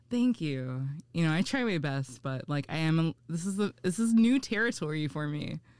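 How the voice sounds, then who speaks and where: A woman with a very deep, low pitch, very wide pitch swings and a moderate pace. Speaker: hair colorist. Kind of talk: casual chat. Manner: sounds confident; hesitant, filler words. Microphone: good microphone.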